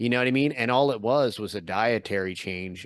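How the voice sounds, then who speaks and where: An unremarkable speaking voice from a man with an American accent, medium in pitch, at a moderate pace, with a dry, close sound with no echo and a quiet background. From US Northeast, Philadelphia area. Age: 40s. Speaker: podcaster and YouTuber. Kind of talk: casual interview chat.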